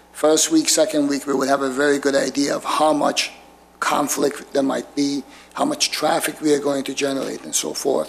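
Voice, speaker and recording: Over noticeable background noise, a man with a fairly high pitch speaks at a moderate pace in a monotone, flat voice. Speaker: applicant representing a congregation. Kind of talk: public meeting presentation. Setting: municipal commission meeting room. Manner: hesitant, repeats words.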